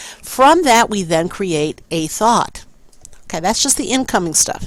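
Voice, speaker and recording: At a moderate pace, a woman talks in an ordinary speaking voice at a medium pitch. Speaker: teacher. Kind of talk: recorded lecture.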